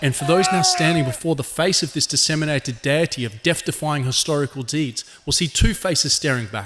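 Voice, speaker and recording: A man with a plain, everyday voice talks at a fairly quick pace in a fairly high pitch with ordinary pitch variation. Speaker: magazine editor. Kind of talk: theatrical ringmaster-style address on politics. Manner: grandiloquent, alliterative oratory.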